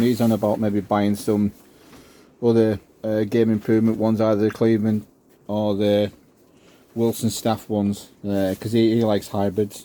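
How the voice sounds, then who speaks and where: A man with a Cumbrian accent, fairly quick, monotone and flat, fairly low in pitch, with a dark, mellow tone. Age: 60s. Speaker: amateur golfer. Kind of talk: casual show-and-tell video.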